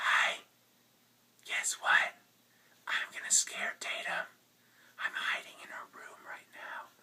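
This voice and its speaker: A put-on character voice, raspy and extremely high-pitched, moves at a fairly slow pace. It has long, frequent pauses. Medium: puppet.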